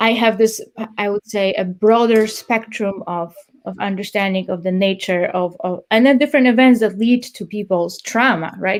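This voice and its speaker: A woman with a non-native accent speaks at a fairly high pitch and moderate pace with fairly even intonation. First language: not English. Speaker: police trainer. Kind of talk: interview. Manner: halting, many repeated words.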